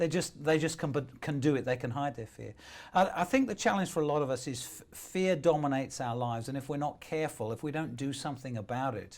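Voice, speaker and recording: A man with a British accent, fairly high-pitched, talking at a very fast pace on a very clean recording with a silent background. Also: ordinary pitch variation. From UK. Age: 60s. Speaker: motivational speaker. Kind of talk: interview.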